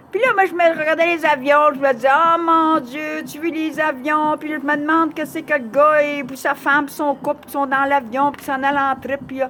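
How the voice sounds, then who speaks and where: With hardly any pauses and a moderate pace, a high-pitched woman talks in fairly even intonation, her loudness swinging widely against noticeable background noise. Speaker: vlogger. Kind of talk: personal testimony.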